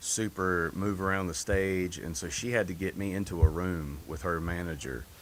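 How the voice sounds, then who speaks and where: A man speaks with a Southern US accent and a very deep, low pitch. His pace is moderate, with ordinary pitch variation and hardly any pauses. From North Carolina. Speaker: singer. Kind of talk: interview.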